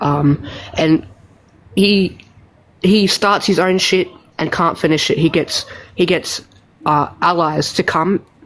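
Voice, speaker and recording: A woman with an Australian accent speaks at a very slow pace, with long, frequent pauses. Her pitch is fairly low and her loudness very even. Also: fairly even intonation. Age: young. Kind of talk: heated debate. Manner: halting.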